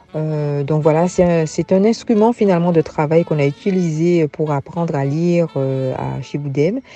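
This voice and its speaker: A woman's very deep, low voice at a moderate pace with ordinary pitch variation, over noticeable background noise. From Guadeloupe, Basse-Terre area. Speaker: former teacher turned farmer. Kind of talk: interview, personal life story.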